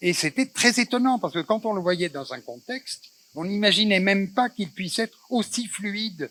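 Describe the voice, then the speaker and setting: A man talks at a moderate pace. The sound is dry and close, with no echo. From Tangier, Morocco. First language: Spanish (Judeo-Spanish) (speaking French). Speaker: moderator of a cultural talk. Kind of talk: public panel discussion. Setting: festival stage with audience. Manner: halting, many hesitations.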